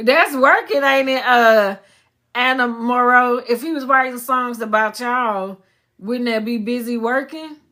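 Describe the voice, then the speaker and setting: Loud and bright, sharp in tone, a woman speaks at a high pitch and a fairly slow pace on a very clean recording with a silent background. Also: ordinary pitch variation. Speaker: psychic medium. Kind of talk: live stream reading. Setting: live stream.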